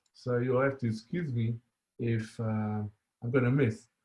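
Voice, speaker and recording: With an Israeli accent, a man talks at a medium pitch and a fairly slow pace. His voice is somewhat breathy, with ordinary pitch variation. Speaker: software engineer, conference speaker. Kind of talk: conference talk. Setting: online conference with live chat. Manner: halting, many fillers.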